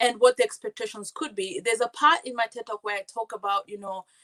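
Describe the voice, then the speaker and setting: Talking at a very fast pace with a non-native accent, a woman uses a fairly high pitch and ordinary pitch variation, recorded with a dry, close sound and no echo. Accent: foreign. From Kenya. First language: not English. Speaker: community advocate and TV co-host. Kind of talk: podcast interview. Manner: repetitive stammering restarts.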